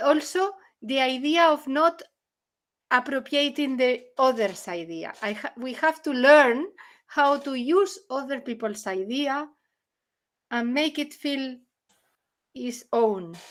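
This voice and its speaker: Speaking very slowly with a non-native accent, a woman with a high pitch uses lively intonation and big swings in loudness. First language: not English. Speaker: artist in an art collective. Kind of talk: presentation discussion on video call. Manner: halting, self-correcting.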